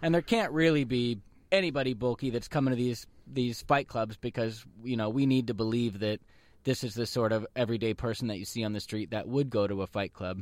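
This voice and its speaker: A man's normal speaking voice, medium in pitch, at a fairly quick pace with ordinary pitch variation. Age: 30s. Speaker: radio host. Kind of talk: casual chat.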